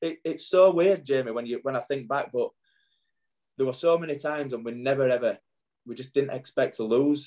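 With a Yorkshire accent, a man talks at a fairly quick pace in a fairly high pitch, with a dark, mellow tone and ordinary pitch variation. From northern England, Wakefield. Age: 40s. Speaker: former rugby league player. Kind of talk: casual chat.

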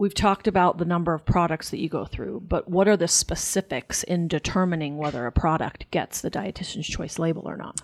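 An ordinary speaking voice from a woman, fairly low in pitch, fairly quick with hardly any pauses and fairly even intonation, in a dry, close sound with no echo. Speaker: podcast co-host and chef. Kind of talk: casual podcast interview.

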